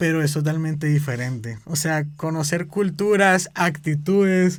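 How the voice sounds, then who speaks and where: Recorded very cleanly with a silent background, a man with a fairly high pitch talks at a fairly slow pace with ordinary pitch variation. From Colombia, Cali. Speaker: Bible school student. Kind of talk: podcast testimony conversation.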